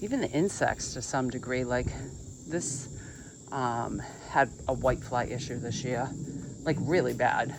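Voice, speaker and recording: Noticeable background noise can be heard throughout. The talking proceeds at a moderate pace. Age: 60s. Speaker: gardener, video blogger. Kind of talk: casual vlog talk. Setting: outdoors in garden. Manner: conversational, some hesitations.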